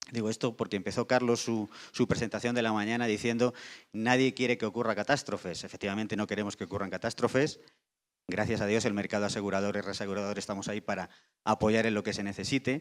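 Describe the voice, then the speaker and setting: A man at a fairly low pitch, very fast pace and fairly even intonation, in a very clean recording with a silent background. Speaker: insurance industry panelist. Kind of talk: panel discussion. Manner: halting with repetitions.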